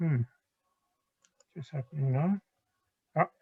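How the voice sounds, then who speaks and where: A somewhat breathy man's voice, fairly high in pitch with ordinary pitch variation. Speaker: university lecturer. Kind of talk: lecture. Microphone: too quiet for listeners.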